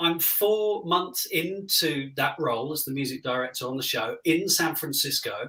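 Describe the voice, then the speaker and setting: A man speaks in a raised, projected voice with a bright, sharp tone. His intonation is lively. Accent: British. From Britain. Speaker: music director. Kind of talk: interview.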